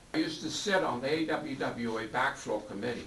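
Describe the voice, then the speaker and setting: A man's voice makes very wide pitch swings. Room echo is audible, along with noticeable background noise. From New York. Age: 70s. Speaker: board member and valve engineer. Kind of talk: heated debate. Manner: animated.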